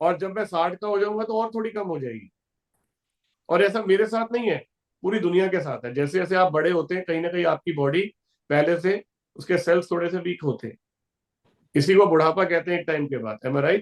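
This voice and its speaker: A high-pitched male voice at a moderate pace, with long, frequent pauses. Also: ordinary pitch variation. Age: 40s. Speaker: company founder and business speaker. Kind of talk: motivational business talk.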